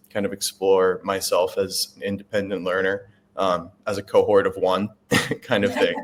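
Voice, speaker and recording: A man with a Chicago accent at a moderate pace. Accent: American (Chicago). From US Midwest, Chicago. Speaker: veterinary student. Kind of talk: interview. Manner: halting, many fillers.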